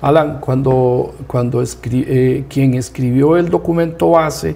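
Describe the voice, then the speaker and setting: A man with a dark, mellow, somewhat breathy tone speaks at a fairly slow pace, medium in pitch with fairly even intonation. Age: 60s. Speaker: rural community leader. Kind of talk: TV interview.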